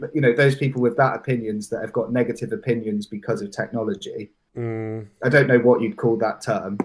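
In a West Country accent, the speaker moves at a fairly quick pace with hardly any pauses and fairly even intonation. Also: man, medium pitch for a man. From southwest England, Bath and Bristol area. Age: 20s. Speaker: drum and bass producer. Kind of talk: casual chat. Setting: live stream.

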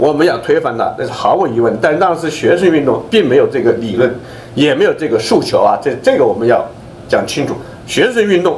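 A man at a fairly quick pace, with noticeable background noise and audible room echo. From China. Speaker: event moderator and former political prisoner. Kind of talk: speech at a memorial event.

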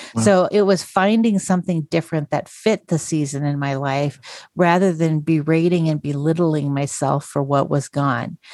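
A woman with an American accent speaks at a moderate pace in a very deep, low voice, her tone dark and mellow, her pitch varying in an ordinary way, with hardly any pauses. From North Idaho, US. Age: 50s. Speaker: podcast host, former pastor. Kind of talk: interview conversation.

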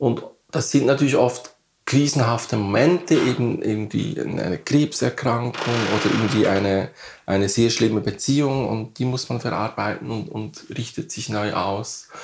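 This man's voice sits at a medium pitch and shifts in an ordinary way. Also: moderate pace. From Switzerland, Bern area. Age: 50s. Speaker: artist. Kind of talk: interview. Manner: halting.

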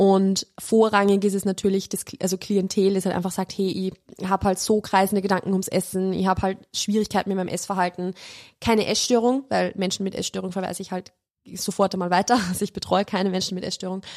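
A woman talks at a very fast pace, monotone and flat, with medium pitch. The very clean recording has a silent background and a dry, close sound with no echo. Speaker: nutrition coach and online marketer. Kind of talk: casual chat.

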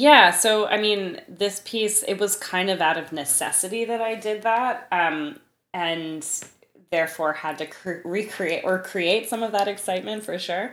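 A woman's unremarkable speaking voice, medium in pitch, with an American accent, ordinary pitch variation, and a fairly slow pace. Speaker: composer. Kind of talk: interview.

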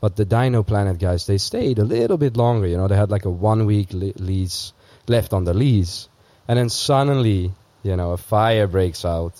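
At a moderate pace, a man talks in a fairly low, dark, mellow voice with ordinary pitch variation. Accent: Dutch. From Netherlands. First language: Dutch. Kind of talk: casual chat.

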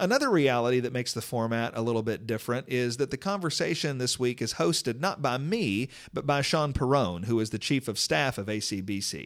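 With lively intonation and hardly any pauses, a man in an unremarkable speaking voice talks at a fairly quick pace and a medium pitch. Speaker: podcast host. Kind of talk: podcast introduction and outro.

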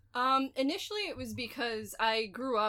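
A woman speaks in a bright, sharp tone. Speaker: newer comic fan. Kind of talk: casual interview chat.

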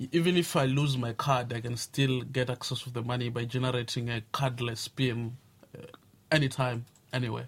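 A man speaks at medium pitch and a fairly quick pace with fairly even intonation. His voice is somewhat breathy. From South Africa (Pretoria). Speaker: blogger. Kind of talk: radio interview. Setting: studio. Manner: halting.

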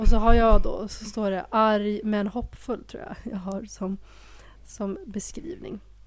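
A woman speaks very slowly at a fairly high pitch, her loudness swinging widely. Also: fairly even intonation. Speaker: podcast co-host. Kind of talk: casual chat.

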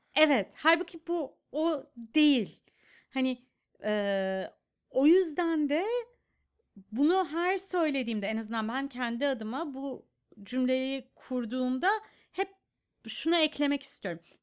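On a very clean recording with a silent background, a high-pitched woman speaks at a very slow pace with lively intonation and long, frequent pauses. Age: 30s. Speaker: clinical psychologist and podcast host. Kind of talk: casual chat.

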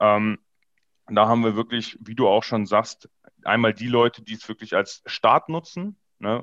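A man talks in a normal speaking voice at a medium pitch and a moderate pace. The sound is dry and close with no echo, over a quiet background. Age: 20s. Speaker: e-commerce business coach. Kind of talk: casual chat.

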